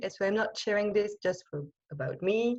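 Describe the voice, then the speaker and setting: A woman's voice with a French accent. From France. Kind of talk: online talk with slides. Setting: video call. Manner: halting.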